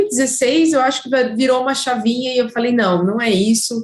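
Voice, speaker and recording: A high-pitched woman's voice with a slight gaúcho accent. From Curitiba, southern Brazil. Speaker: sports marketing professional, former footballer. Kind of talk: interview. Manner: hesitant, many fillers.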